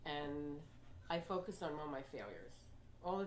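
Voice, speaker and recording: The speech has an American accent and a moderate pace. Room echo is audible. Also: woman. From New York (Queens). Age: 80s+. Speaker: health coach and motivational speaker. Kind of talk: talk to a library audience.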